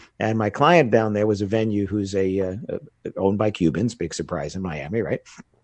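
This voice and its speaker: An American-accented man talks in an ordinary speaking voice, fairly low in pitch. He moves at a fairly quick pace with ordinary pitch variation. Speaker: wedding business educator and speaker. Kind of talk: casual interview.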